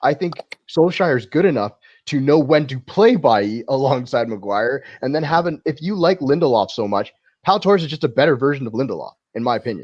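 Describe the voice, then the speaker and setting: In a Canadian accent, a man talks at a fairly quick pace with lively intonation and a fairly high pitch, an ordinary speaking voice set against a quiet background. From Canada. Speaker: football podcast panelist. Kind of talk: casual chat.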